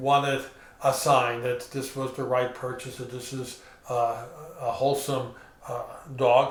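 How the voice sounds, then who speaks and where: Noticeable background noise and audible room echo are present. A man talks fairly slowly. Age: 60s. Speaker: pastor. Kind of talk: sermon. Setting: recorded at home.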